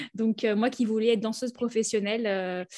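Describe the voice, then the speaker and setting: A woman's normal speaking voice, fairly high in pitch, fairly quick, with fairly even intonation. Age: 30s. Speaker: naturopath. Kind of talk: interview.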